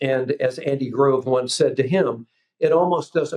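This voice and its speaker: Here a man talks at a fairly slow pace. He has a normal speaking voice of medium pitch. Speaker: business coach, former homebuilding executive. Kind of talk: business podcast interview.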